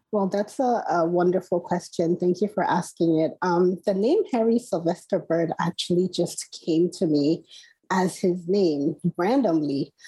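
A woman with a Nigerian accent, a fairly low pitch and a dark, mellow tone, speaking at a fairly slow pace with ordinary pitch variation. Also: very even loudness. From Nigeria, Port Harcourt. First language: Igbo. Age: 40s. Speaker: novelist. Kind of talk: interview. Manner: hesitant, many fillers.

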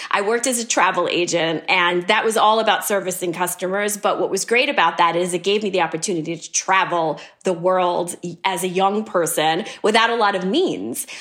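A woman speaks at a fairly quick pace in an unremarkable speaking voice. Her pitch is medium, with ordinary variation. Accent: American. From US, New York City. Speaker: beauty company CEO. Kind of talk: interview.

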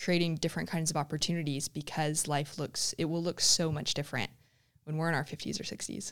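Very clean and silent in the background, the recording has a woman speaking in a fairly low pitch and fairly even intonation with an American accent. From Southern California, Huntington Beach. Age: 30s. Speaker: surf contest commentator. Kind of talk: casual interview chat.

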